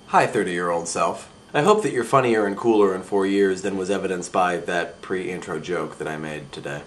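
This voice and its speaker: Amid noticeable background noise and audible room echo, a man with a very deep, low voice talks at a fairly quick pace with hardly any pauses and ordinary pitch variation. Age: 20s. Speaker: vlogger. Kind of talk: casual vlog monologue.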